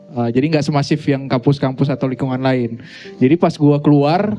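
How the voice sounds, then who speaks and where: A man's voice shows ordinary pitch variation, with noticeable background noise in the recording. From Aceh, grew up around Medan, North Sumatra. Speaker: musician, guitarist and songwriter. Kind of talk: casual live podcast interview. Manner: hesitant, many fillers.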